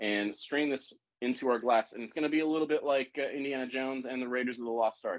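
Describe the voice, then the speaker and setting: A man talking at a fairly quick pace, ordinary pitch variation, and a quiet background. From US South, Savannah, Georgia; Georgia. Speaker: bartender and cocktail consultant; cocktail class host. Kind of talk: live cocktail-making demonstration. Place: kitchen.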